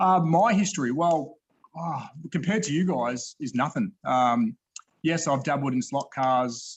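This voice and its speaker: A man with an Australian accent and ordinary pitch variation. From Australia, Melbourne. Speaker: slot car YouTuber and collector. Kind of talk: casual chat. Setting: video call. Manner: halting.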